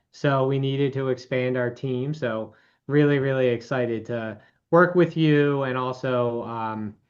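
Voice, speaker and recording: In a Baltimore accent, the speaker talks at a fairly slow pace. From Baltimore, Maryland. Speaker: financial advisor. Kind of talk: webinar presentation.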